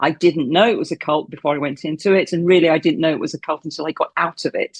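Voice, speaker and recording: At a very fast pace, a woman speaks in a fairly low pitch with fairly even intonation, the sound dry and close with no echo against a quiet background. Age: 60s. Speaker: former cult member. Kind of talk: interview.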